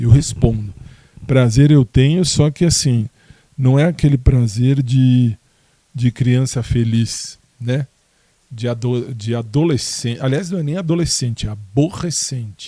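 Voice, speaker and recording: Fairly slow and somewhat breathy, a man of medium pitch speaks with long, frequent pauses. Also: ordinary pitch variation. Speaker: podcaster. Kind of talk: casual monologue answering listener questions. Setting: home, in his bedroom.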